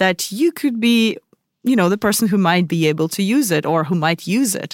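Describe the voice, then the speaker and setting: In an ordinary speaking voice, a woman talks at a moderate pace with lively intonation, her very clean recording dry and close with no echo and a silent background. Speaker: podcast co-host. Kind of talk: casual chat.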